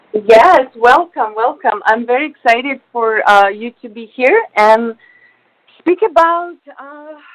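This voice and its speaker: Speaking at a fairly slow pace in a Russian accent, a woman has a high pitch, lively intonation and big swings in loudness. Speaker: radio host. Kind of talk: radio interview. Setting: studio.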